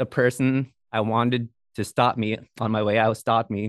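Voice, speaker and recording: A medium-pitched man in monotone, flat intonation, with a dry, close sound, no echo and a quiet background. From Bethel, Alaska. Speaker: podcaster. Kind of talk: casual interview.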